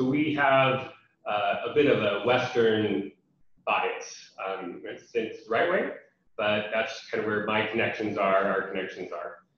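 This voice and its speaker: In an American accent, a man with a medium pitch and ordinary pitch variation speaks at a fairly slow pace amid audible room echo. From USA. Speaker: international development program representative. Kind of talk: webinar presentation. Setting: online webinar. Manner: many fillers (um, uh).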